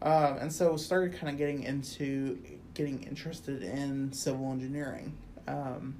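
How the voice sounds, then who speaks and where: Heard with audible room echo, a woman with a Midwestern US accent speaks at a very deep, low pitch in a dark, mellow tone. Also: ordinary pitch variation, moderate pace. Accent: US Midwest. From Quad Cities, Illinois side. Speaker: academic advisor. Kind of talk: casual interview.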